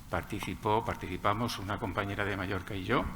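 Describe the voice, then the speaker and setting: A man's fairly low voice at a fairly quick pace. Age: 60s. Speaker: marine scientist, audience member. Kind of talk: audience question.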